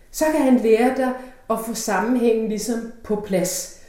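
A woman's somewhat breathy voice, dark and mellow in tone, moves at a fairly slow pace through audible room echo. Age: 50s. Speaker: opera singer. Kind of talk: interview.

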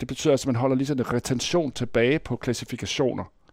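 Recorded very cleanly over a silent background, with a dry, close sound and no echo, a man with an unremarkable speaking voice talks at a fairly quick pace in a medium pitch with ordinary pitch variation. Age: 60s. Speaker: university lecturer. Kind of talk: interview.

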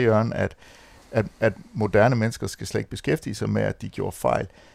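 A man's voice at medium pitch. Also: very clean recording, silent background. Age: 50s. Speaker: men's centre director. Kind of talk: round-table discussion.

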